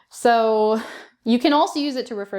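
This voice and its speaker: With a Canadian accent, a woman speaks at a fairly quick pace with lively intonation and an ordinary speaking voice. The recording is very clean, with a silent background. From Canada. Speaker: English teacher. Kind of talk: educational talk to camera. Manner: upbeat.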